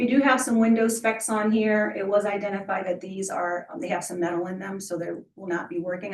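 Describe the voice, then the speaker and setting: In a normal speaking voice, a woman talks at a fairly quick pace and medium pitch with ordinary pitch variation and hardly any pauses. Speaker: applicant at a city review board. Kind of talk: public hearing presentation. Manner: formal.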